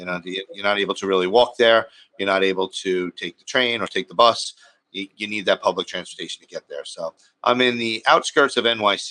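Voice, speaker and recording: With a bright, sharp tone and fairly low pitch, a man talks at a fairly quick pace, his loudness swinging widely and his pitch varying in an ordinary way, in a dry, close sound with no echo. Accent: American. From Long Island, New York. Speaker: car buying advisor for immigrants. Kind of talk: panel discussion.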